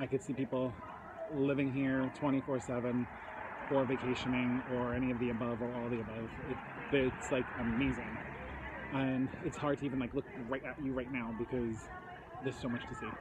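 Loud background noise sits behind a dry sound with no echo. The speech moves at a fairly quick pace. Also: man. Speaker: vlogger. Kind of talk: casual vlog chat.

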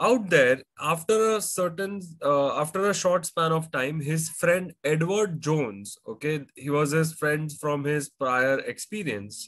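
A man is speaking against a quiet background. His pitch variation is ordinary. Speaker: finance educator. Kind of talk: lecture. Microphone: webcam.

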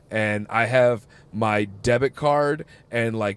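This man has an unremarkable speaking voice at a medium pitch, speaking with an American accent and fairly even intonation. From US Midwest. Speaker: comedian and podcast host. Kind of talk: casual chat.

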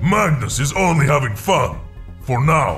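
Over clear music in the background, a man uses a put-on character voice at a moderate pace. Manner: solemn, formal, commanding.

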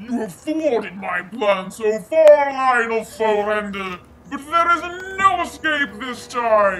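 Someone puts on a character voice with a fairly high pitch. The pace is fairly slow. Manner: comically exaggerated pitch, dramatic.

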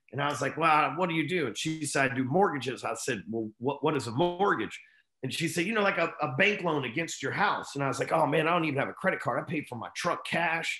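A man with a Texan accent at a fairly high pitch, with a bright, sharp tone, ordinary pitch variation, a very fast pace and hardly any pauses, with audible room echo over a quiet background. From Texas, Dallas. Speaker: entrepreneur and sales coach; sales coach. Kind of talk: interview storytelling. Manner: casual, profane. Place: home room. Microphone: video call.

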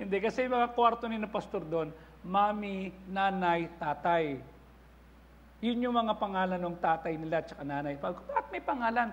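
Moderate pace and ordinary pitch variation from a man with a high voice. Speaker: pastor. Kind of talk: sermon. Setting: church. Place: church. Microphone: lapel.

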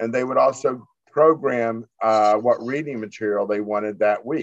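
A man's medium-pitched voice, a normal speaking voice with an American accent, at a fairly slow pace in a dry sound with no echo and a quiet background. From Florida (Tampa). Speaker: newspaper editor and publisher. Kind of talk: interview. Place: home room. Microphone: video call.

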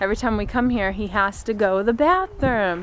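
A woman speaks at a fairly quick pace. The sound is dry with no echo, and there is light background noise. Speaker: parent vlogger. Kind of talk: casual vlog chat. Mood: cheerful, relaxed. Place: garden. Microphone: phone near.

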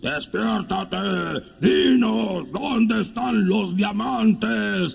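Using a put-on character voice, a man speaks very slowly in a high, hoarse pitch. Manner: demanding, shouting.

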